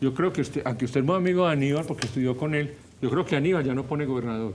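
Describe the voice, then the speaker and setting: A man with a fairly high pitch rattles along at a very fast pace, his pitch varying in an ordinary way. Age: 70s. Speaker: professor and political commentator. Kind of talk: talk show interview. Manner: animated.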